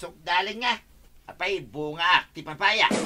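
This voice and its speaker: A put-on character voice sits at middle pitch. It moves at a fairly slow pace. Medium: audio drama. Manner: whiny, defensive.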